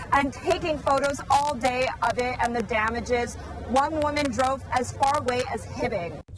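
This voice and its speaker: There is noticeable background noise as a woman speaks with a high pitch and ordinary pitch variation. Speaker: TV news reporter. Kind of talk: TV news report.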